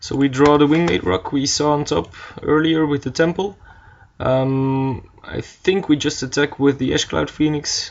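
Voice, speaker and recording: With a non-native accent, a man speaks at a fairly slow pace. His pitch is fairly high, with ordinary variation. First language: not English. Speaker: card game player narrating gameplay. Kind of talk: gameplay commentary. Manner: hesitant, many fillers.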